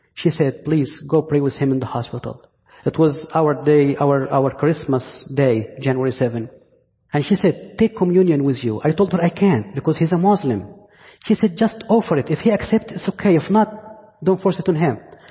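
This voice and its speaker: In an Egyptian accent, a man speaks at a fairly high pitch with lively intonation. He keeps a moderate pace. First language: Arabic. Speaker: pastor. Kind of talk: sermon. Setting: church.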